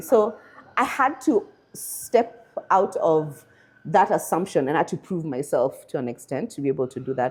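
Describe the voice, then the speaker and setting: In a Kenyan accent, a woman speaks at a fairly low pitch with very wide pitch swings. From Kenya, Nairobi. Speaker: machine learning engineer. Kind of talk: interview.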